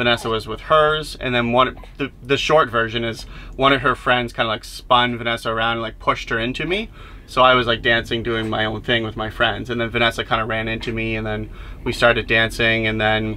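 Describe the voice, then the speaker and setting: Medium-pitched man with a Canadian Maritime accent, fairly quick and monotone, flat in intonation, over noticeable background noise. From Nova Scotia, Canada (Antigonish). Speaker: vlogger. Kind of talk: casual chat.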